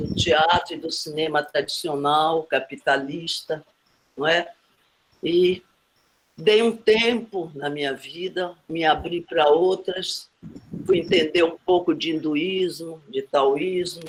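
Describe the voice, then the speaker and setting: A woman with a fairly low pitch and ordinary pitch variation talks very slowly. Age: 80s+. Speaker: film director and actress. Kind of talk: panel discussion.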